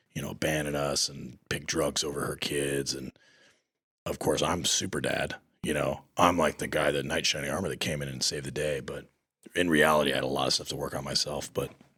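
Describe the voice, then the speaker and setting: A man's very deep, low voice with vocal fry, a bright, sharp tone, monotone, flat intonation and a fairly quick pace. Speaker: retired navy seal. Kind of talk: casual chat. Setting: podcast interview. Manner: loud.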